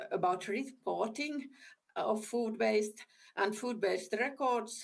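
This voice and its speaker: A woman's fairly high voice with a non-native accent, at a very slow pace with ordinary pitch variation. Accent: non-fluent English. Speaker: government ministry official. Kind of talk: conference presentation. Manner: halting.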